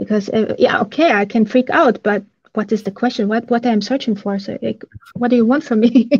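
A woman talks at a fairly quick pace against a quiet background. Her voice is somewhat breathy and fairly high, with ordinary pitch variation. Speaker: law enforcement OSINT analyst. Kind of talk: interview answers. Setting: video call. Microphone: video call.

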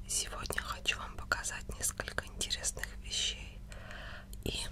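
A soft-spoken woman whispering at a fairly slow pace over loud background noise. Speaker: ASMR content creator. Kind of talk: casual ASMR intro to camera, showing objects and tapping. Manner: whispered, soft. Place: home room. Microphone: studio mic.

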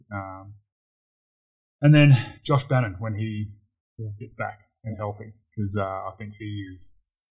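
A man's fairly low, somewhat breathy voice at a moderate pace, with fairly even intonation, in a very clean recording with a silent background. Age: 30s. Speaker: basketball player. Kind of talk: casual chat.

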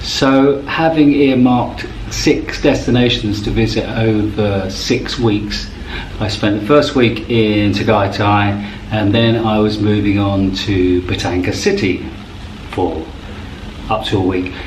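A man with a fairly low pitch speaks at a fairly slow pace with ordinary pitch variation, amid light background noise and audible room echo. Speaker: travel vlogger. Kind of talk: casual vlog chat. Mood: relaxed, amused. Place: home room. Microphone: phone near.

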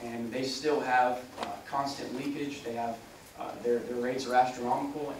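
Over noticeable background noise and audible room echo, a man talks at a very fast pace in a medium pitch with monotone, flat intonation. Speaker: political candidate. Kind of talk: forum answer. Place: meeting room.

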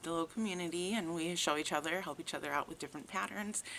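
A woman speaks in a bright, sharp tone at a fairly low pitch, with ordinary pitch variation. Light background noise can be heard. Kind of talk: casual vlog chat. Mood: friendly, relaxed. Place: garden. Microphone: phone near.

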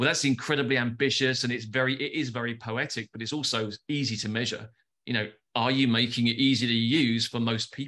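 A man speaks with a London accent in a bright, sharp tone at a fairly quick pace. His intonation is monotone and flat, against a quiet background. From London, England. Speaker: advertising agency founder. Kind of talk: casual interview. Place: home room. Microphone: video call.

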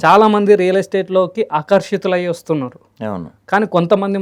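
Here a man speaks with a high pitch for a man. The background is quiet. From Telangana, Jogulamba Gadwal district. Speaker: real estate trainer and founder. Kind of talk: interview.

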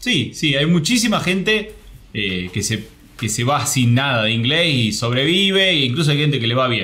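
A man's medium-pitched voice with a bright, sharp tone and very wide pitch swings, at a moderate pace, with audible room echo. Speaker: travel program creator. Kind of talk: interview.

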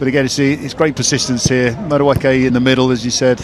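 A man speaks at a medium pitch with fairly even intonation. His pace is fairly quick, and there is noticeable background noise. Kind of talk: sports commentary, co-commentator analysis. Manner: conversational, reflective, with hesitations and fillers.

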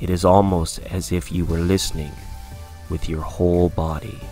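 A man's very deep, low voice in a calm, soothing tone, fairly slow with ordinary pitch variation, over music in the background. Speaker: meditation guide. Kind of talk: guided meditation narration. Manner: calm, slow, soothing.

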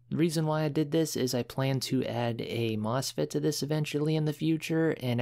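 A man with an ordinary speaking voice talks at a fairly quick pace with a fairly high pitch and fairly even intonation. The recording is very clean, with a silent background. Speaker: electronics hobbyist. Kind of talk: casual DIY tutorial talk to camera.

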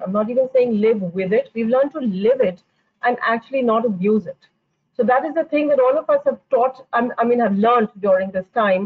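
Speaking at a fairly quick pace, a woman has a high pitch. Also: ordinary pitch variation, quiet background. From India. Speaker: architect; panelist. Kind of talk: panel discussion. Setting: video call. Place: home room. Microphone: video call.

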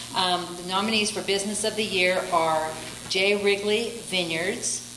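Audible room echo and light background noise surround this recording. A woman speaks with ordinary pitch variation. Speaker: chamber of commerce presenter. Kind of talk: awards presentation. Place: hall. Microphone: podium.

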